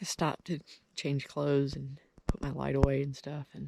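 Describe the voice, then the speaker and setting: A woman speaks at a very deep, low pitch, somewhat breathy and at a fairly slow pace. The sound is dry and close, with no echo. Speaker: hunter vlogger. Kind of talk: video diary.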